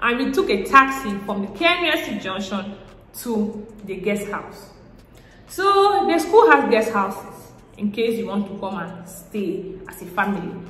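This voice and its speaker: In a Cameroonian accent, the speaker talks at a fairly slow pace with lively intonation and big swings in loudness, amid audible room echo and noticeable background noise. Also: woman, fairly high pitch for a woman. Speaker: vlogger. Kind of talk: casual vlog.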